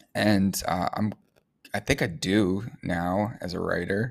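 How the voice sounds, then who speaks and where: This man speaks with a very deep, low pitch and fairly even intonation on a very clean recording with a silent background. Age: 20s. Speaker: podcast host and web3 writer. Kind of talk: solo podcast monologue. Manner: casual with many fillers.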